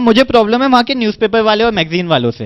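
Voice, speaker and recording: A man's extremely high-pitched voice at a moderate pace, with ordinary pitch variation. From India. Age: 20s. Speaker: stand-up comedian. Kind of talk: stand-up comedy set. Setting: live audience on stage. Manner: distinct speaking style.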